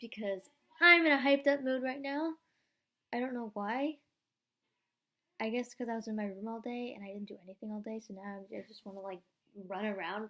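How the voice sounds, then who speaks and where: A woman's fairly high, bright and sharp voice with ordinary pitch variation, big swings in loudness, and long, frequent pauses. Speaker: vlogger and young actor. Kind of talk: casual vlog. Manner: fast; animated.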